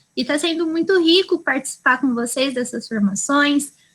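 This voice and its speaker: A woman's raised, projected voice, high in pitch, bright and sharp in tone, with lively intonation. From interior of São Paulo state, Brazil. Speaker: early childhood educator in study group. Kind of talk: casual self-introduction. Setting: video call.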